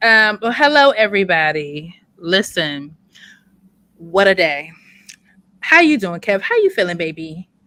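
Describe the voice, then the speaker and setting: A loud woman with a bright, sharp tone and medium pitch speaks at a fairly slow pace. Her pitch swings very widely, and she takes long, frequent pauses. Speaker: podcast co-host. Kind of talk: casual chat. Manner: animated. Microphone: distorted mic.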